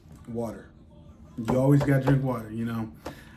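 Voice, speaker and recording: Somewhat breathy and dark, mellow in tone, a man speaks at medium pitch and moderate pace with ordinary pitch variation, with audible room echo. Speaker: vlogger. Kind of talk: casual chat. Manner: halting, many fillers.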